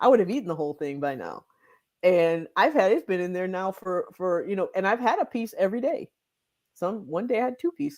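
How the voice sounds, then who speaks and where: Heard in a very clean recording with a silent background, this is an ordinary speaking voice with an American accent. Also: woman, medium pitch for a woman, fairly quick pace. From Michigan. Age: 50s. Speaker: weight loss doctor. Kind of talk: interview. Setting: livestream.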